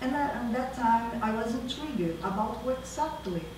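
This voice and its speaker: A woman with a Brazilian accent at a moderate pace, with ordinary pitch variation, noticeable background noise and audible room echo. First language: Portuguese. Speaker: university professor and researcher. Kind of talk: academic lecture. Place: hall. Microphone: camera far.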